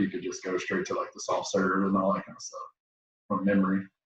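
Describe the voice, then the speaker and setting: A man with a West Tennessee accent at a fairly quick pace. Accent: West Tennessee Southern US. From Tennessee (Jackson area, West Tennessee). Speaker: podcast host, veteran. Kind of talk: casual chat. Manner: animated.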